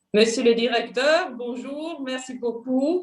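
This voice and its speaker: A high-pitched woman with a Swiss German accent, ordinary pitch variation, and a very slow pace. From Switzerland, Basel. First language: Swiss German (speaking French). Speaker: diplomat. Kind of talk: formal self-introduction at a panel. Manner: halting, many fillers.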